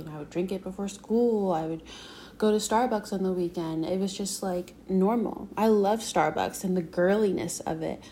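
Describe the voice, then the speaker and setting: A woman speaks in a normal speaking voice with an American accent. Her pace is moderate, her pitch medium, and her intonation fairly even. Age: 20s. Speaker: podcaster. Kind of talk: solo monologue. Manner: casual, filler-heavy.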